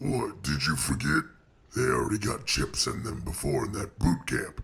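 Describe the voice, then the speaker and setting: In a put-on character voice, a man speaks with very wide pitch swings. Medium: machinima. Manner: curt, dismissive.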